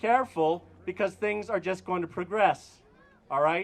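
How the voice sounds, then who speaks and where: With an Albertan accent, a high-pitched man speaks at a moderate pace with ordinary pitch variation. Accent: Canadian (Alberta). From Alberta, Canada. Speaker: priest. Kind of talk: protest rally speech. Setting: outdoor protest with crowd. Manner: calm, not yelling.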